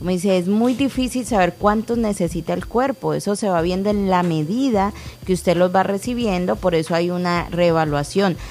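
A woman speaks at a moderate pace in a medium pitch, her loudness very even, with noticeable background noise behind her. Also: ordinary pitch variation, hardly any pauses. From Colombia (Cali). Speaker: co-host, clinic staff. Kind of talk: radio call-in show.

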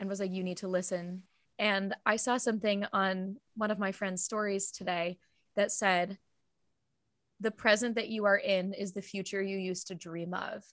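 On a very clean recording with a silent background, a woman speaks at a medium pitch and a moderate pace. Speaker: podcast co-host. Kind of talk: casual interview chat. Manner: enthusiastic.

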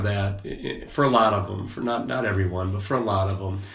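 A man's fairly low voice in an Upper Midwest accent, fairly quick and monotone with flat intonation, amid noticeable background noise and audible room echo. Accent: Upper Midwest American. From Wisconsin, US Upper Midwest. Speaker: former prison officer, men's ministry leader. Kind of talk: casual interview. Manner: hesitant, many fillers.

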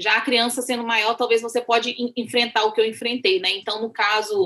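Her tone is bright and sharp, her pitch fairly high for a woman. She speaks at a fairly quick pace. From Brazil, Minas Gerais (rural). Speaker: missionary. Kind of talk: interview.

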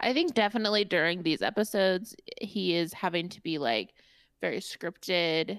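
Lively intonation and vocal fry mark this voice, with a slight Indiana accent. The pace is moderate, and the recording is very clean with a silent background. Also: woman, medium pitch for a woman. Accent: Indiana Midwestern, slight. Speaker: podcast co-host. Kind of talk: casual chat. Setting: in person, same room.

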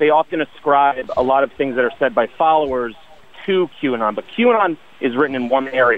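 With ordinary pitch variation, a man moves through his words at a fairly quick pace. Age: 30s. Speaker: caller. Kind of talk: call-in discussion. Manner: articulate.

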